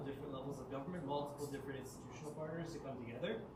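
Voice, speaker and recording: A man's fairly even intonation, with audible room echo and noticeable background noise. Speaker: city official presenting plan. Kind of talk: public meeting Q&A.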